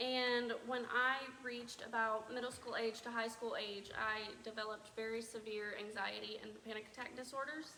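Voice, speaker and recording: A woman speaks in a flat, monotone way. Room echo is audible, along with noticeable background noise. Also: fairly high pitch for a woman, moderate pace. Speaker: community theatre actor. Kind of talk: group interview. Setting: theatre during dress rehearsal. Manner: loud.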